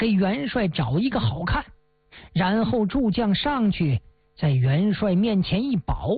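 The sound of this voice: Lively intonation marks this passage, read in an unforced reading voice.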